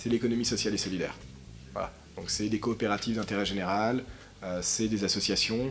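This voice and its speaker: A man at medium pitch moves at a fairly quick pace with fairly even intonation, broken by long, frequent pauses. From Paris, France. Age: 30s. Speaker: author and social science doctoral student. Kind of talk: public talk at a conference. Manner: hesitant, many repetitions and fillers.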